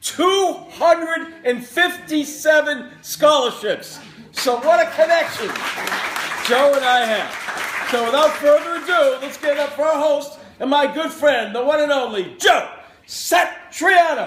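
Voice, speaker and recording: Crowd noise fills the background as a man talks at a fairly slow pace. His pitch is extremely high, with ordinary variation. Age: 50s. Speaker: event emcee. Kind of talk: introduction speech.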